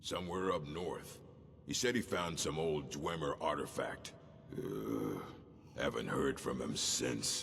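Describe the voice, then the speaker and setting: A man uses a put-on character voice with a very deep, low pitch at a fairly slow pace. Clear background noise runs underneath. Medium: video game. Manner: blunt, commanding.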